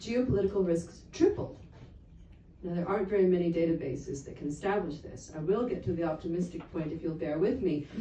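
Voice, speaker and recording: Speaking at a fairly quick pace with an American accent, a woman with a fairly low pitch shows ordinary pitch variation and big swings in loudness, with audible room echo and noticeable background noise. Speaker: geopolitical analyst. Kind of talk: conference talk.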